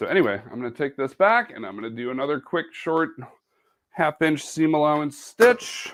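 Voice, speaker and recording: A man with a Midwestern accent speaks at a fairly high pitch with very wide pitch swings. The recording is very clean with a silent background. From Wisconsin. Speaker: sewing and embroidery presenter. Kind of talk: live craft tutorial. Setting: home studio, live video broadcast.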